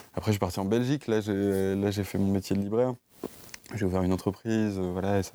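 Amid noticeable background noise, a man speaks at a fairly quick pace with a fairly low pitch and monotone, flat intonation. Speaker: bookseller. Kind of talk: interview. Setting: bookshop stockroom.

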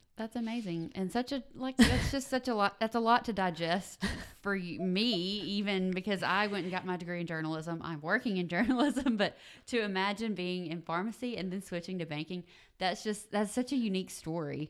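Speaking at a fairly quick pace, a woman with a Southern US accent keeps a medium pitch and ordinary pitch variation. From US South, southern Mississippi. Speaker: podcast host, digital producer. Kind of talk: interview.

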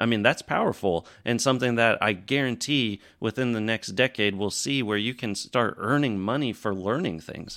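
A man speaks in an ordinary speaking voice at medium pitch and a moderate pace, with ordinary pitch variation and hardly any pauses, on a very clean recording with a silent background. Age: 30s. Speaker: crypto podcast host, former teacher. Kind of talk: casual interview. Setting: Twitter Spaces live audio.

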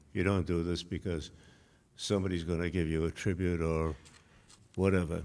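A man with an American accent speaks at a moderate pace with monotone, flat intonation and long, frequent pauses. The recording is very clean, with a silent background. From Massachusetts. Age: 90s. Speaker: honoree, retired executive. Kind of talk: speech at banquet. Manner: halting with fillers.

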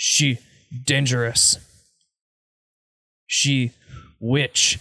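The put-on character voice sits at a low-to-middle pitch and keeps a monotone, flat intonation. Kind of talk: broken, halting speech.

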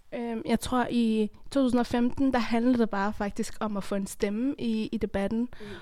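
A woman with a normal speaking voice, fairly high in pitch, with ordinary pitch variation and a fairly slow pace, in a very clean recording with a silent background. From Afghanistan. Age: 20s. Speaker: theatre performer and activist. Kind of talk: casual group discussion.

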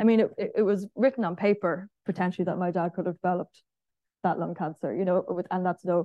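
A woman with an Irish accent speaks at a fairly quick pace in a medium-pitched voice with a dark, mellow tone and monotone, flat intonation. The sound is dry and close, with no echo and a quiet background. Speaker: senator. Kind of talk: panel talk. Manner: casual.

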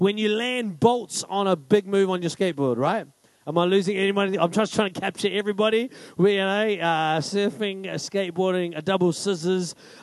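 A loud man with a high pitch, ordinary pitch variation and a fairly quick pace, in a quiet background. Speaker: pastor. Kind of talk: sermon. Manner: fast.

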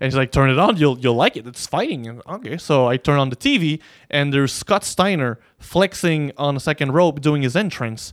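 Speaking with a French accent at a moderate pace, a man uses a fairly high pitch and ordinary pitch variation in a dry, close sound with no echo. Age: 20s. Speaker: professional wrestler. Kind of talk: casual chat.

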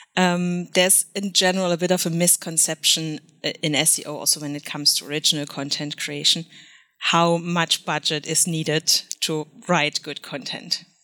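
With a German accent, a woman speaks at a moderate pace in a bright, sharp tone, fairly low in pitch and monotone, flat in intonation, on a very clean recording with a silent background. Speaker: freelance SEO consultant. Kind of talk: podcast interview.

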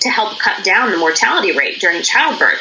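Speaking with an American accent and lively intonation, the voice comes through with audible room echo and noticeable background noise. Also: woman. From Pennsylvania, US. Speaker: business founder. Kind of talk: interview. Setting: video call.

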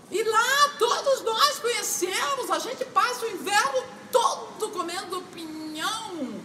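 Projecting her raised voice at an extremely high pitch, a woman speaks at a very slow pace with very wide pitch swings, and audible room echo surrounds her. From southern Brazil, Paraná (Irati). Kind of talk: personal storytelling.

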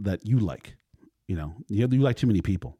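With a dark, mellow tone in a dry, close sound with no echo, a man speaks at a very fast pace in a fairly low voice with ordinary pitch variation. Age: 50s. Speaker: podcast host. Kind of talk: casual chat.

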